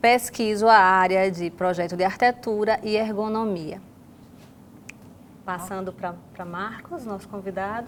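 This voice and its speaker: A woman's medium-pitched voice, fairly slow with long, frequent pauses, fairly even intonation and big swings in loudness. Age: 50s. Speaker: co-moderator, architecture professor. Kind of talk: podcast conversation.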